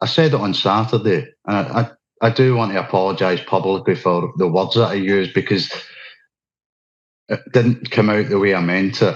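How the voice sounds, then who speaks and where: A man's fairly low voice in a Scottish accent, at a moderate pace with ordinary pitch variation. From Scotland. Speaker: activist speaker. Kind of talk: interview. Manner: unscripted, halting.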